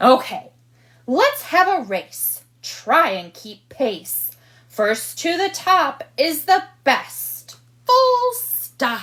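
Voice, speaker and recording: A woman's put-on character voice, extremely high in pitch, at a very slow pace, with very wide pitch swings and big swings in loudness. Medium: read story.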